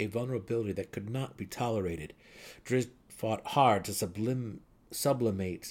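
The speaker reads aloud in a natural voice. Pitch variation is ordinary.

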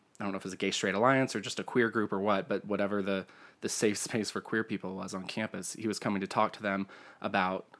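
A man with an American accent speaks in a monotone, flat way. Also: very clean recording, silent background. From US South. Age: 30s. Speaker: podcast host. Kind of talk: casual chat.

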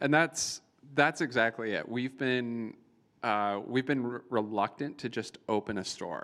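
A man speaks in an unremarkable speaking voice at a fairly slow pace, with ordinary pitch variation. The recording is very clean, its background silent. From Iowa, US Midwest. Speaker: tech entrepreneur, company founder. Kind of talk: live Q&A interview. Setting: event with live audience.

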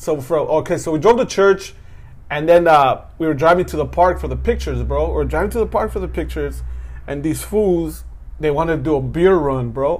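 There is audible room echo around this man. He speaks fairly quickly. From Southern California, Mexican American. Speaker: stand-up comedian and podcast host. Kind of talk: casual chat.

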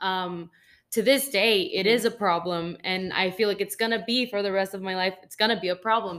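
Talking at a fairly quick pace in an ordinary speaking voice, a woman of medium pitch keeps her intonation fairly even while her loudness swings widely. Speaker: podcast co-host. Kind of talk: casual interview chat.

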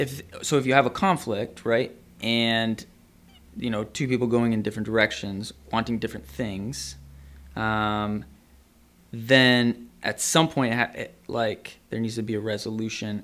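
The man has an unremarkable speaking voice at a medium pitch. He talks at a fairly slow pace with ordinary pitch variation. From Ontario, Canada. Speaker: psychotherapist. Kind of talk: casual chat.

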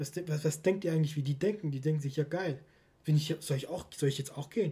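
This man's voice is fairly high, somewhat breathy and dark, mellow in tone, and his intonation stays fairly even. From Stuttgart, Germany. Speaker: football podcast host. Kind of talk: casual chat.

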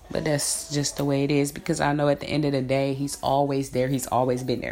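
Over noticeable background noise, a woman talks in an animated tone at a fairly quick pace. Her pitch is very deep and low. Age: 30s. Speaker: podcaster. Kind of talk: casual monologue.

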